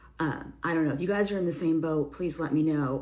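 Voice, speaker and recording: In audible room echo, a woman speaks with a dark, mellow tone, a fairly low pitch and fairly even intonation. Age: 50s. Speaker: corporate employee. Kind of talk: casual social media video.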